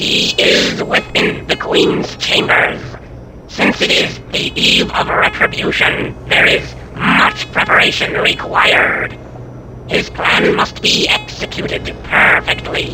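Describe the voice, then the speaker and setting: A man uses a put-on character voice with a very deep, low pitch. He talks at a fairly slow pace over loud background noise. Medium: game stream. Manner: formal, stiff.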